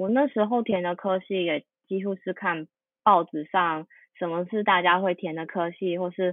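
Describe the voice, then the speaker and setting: Moderately paced female speech in a Taiwanese accent, with fairly even intonation. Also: medium pitch for a woman. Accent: Taiwanese Mandarin. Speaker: UI designer. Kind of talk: interview conversation.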